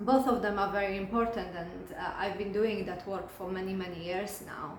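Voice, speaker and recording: With a non-native accent, the speaker talks at a moderate pace and ordinary pitch variation, with noticeable background noise and audible room echo. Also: woman. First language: not English. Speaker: spiritual coach and hypnotherapist. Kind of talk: casual talk to camera. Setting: recording alone to camera. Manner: halting, many fillers and restarts.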